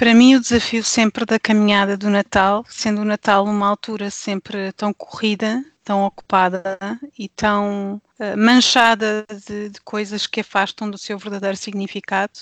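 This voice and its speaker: Against a quiet background, a woman talks at a moderate pace in a medium pitch, with monotone, flat intonation, big swings in loudness and a dry, close sound with no echo. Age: 40s. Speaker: pastor's wife and devotional author. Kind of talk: casual chat.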